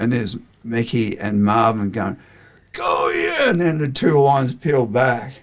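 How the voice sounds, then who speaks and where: Man at medium pitch, fairly slow, with ordinary pitch variation and noticeable background noise. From New Zealand. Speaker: surfboard shaper. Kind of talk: casual chat. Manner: animated.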